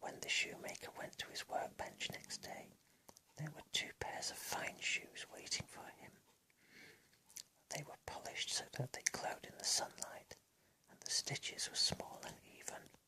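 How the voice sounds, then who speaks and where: A man whispers with big swings in loudness. Long, frequent pauses break up his speech. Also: moderate pace. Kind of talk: ASMR bedtime story reading. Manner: whispered, soft.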